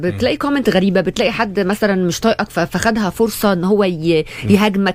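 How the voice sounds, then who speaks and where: Over noticeable background noise, a woman speaks at medium pitch and a fairly quick pace with ordinary pitch variation. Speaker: actress and content creator. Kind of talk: interview answer.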